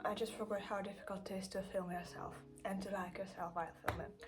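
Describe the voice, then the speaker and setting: Over music in the background and audible room echo, a woman in a Russian accent talks at a very fast pace with medium pitch. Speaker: craft vlogger. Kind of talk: casual vlog. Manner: hesitant, with fillers.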